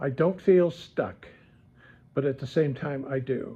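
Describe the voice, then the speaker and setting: A man's somewhat breathy, dark, mellow voice, fairly high in pitch, with ordinary pitch variation and a very slow pace. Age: 70s. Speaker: YouTube vlogger. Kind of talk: casual vlog monologue. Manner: halting, many fillers and repetitions.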